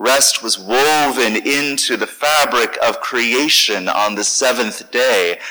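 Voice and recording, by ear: The passage is read aloud in a natural voice.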